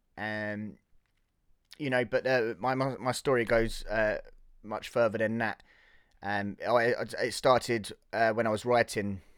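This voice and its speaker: A man's medium-pitched voice with a southern English accent, monotone and flat, at a moderate pace, on a very clean recording with a silent background. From Hertfordshire, England. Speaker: film podcaster and background actor. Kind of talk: casual solo podcast film review. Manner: halting, many fillers and repetitions.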